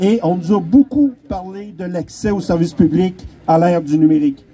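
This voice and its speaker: A loud voice with a Quebec accent carries lively intonation. Noticeable background noise runs underneath. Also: man. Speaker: community group spokesperson. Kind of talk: rally speech. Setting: outdoor rally with crowd and PA.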